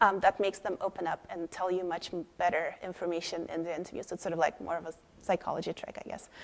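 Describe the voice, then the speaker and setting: A woman with a Swedish accent at a very fast pace. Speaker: head of product, conference speaker. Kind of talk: conference talk. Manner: many fillers and repetitions.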